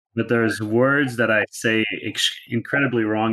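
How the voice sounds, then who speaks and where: In a Canadian accent, a man with a plain, everyday voice speaks at a medium pitch with fairly even intonation. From Canada. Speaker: startup co-founder. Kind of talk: interview. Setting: podcast.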